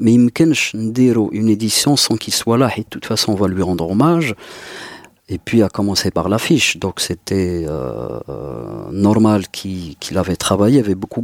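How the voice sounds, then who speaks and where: The speaker has a normal speaking voice and lively intonation, moving at a fairly slow pace. The sound is dry and close, with no echo. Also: man. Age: 40s. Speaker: music festival organizer. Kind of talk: casual chat.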